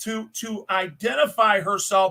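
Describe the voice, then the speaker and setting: A man speaks in a high pitch with a raised, projected voice. His tone is bright and sharp. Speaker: copwatch channel host. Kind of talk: video commentary. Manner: loud; agitated-sounding.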